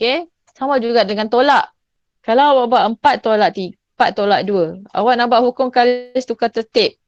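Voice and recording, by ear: Speaking at a moderate pace, a woman uses a fairly high pitch with ordinary variation. The sound is dry and close, without echo.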